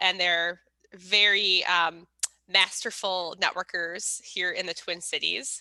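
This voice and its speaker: Loud and bright, sharp in tone, a woman speaks very slowly at a medium pitch. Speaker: networking event host. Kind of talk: casual chat. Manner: animated.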